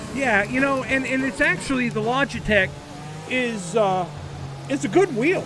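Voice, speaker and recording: With an American accent, a man with an extremely high pitch speaks at a moderate pace with lively intonation and long, frequent pauses, amid noticeable background noise. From United States. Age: 50s. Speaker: sim racing streamer. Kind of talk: live stream casual chat while gaming. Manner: halting, repetitive.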